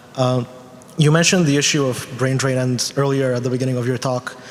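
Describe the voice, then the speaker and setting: A man speaks at a medium pitch and a very fast pace in a monotone, flat delivery. There is noticeable background noise. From North Macedonia. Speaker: student audience member. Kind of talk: audience question. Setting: university lecture hall with audience.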